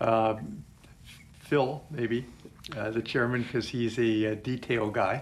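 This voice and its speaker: A man's medium-pitched voice with an American accent, very slow and fairly even in intonation, with long, frequent pauses. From Pennsylvania small town. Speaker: city council member. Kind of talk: interview. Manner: halting.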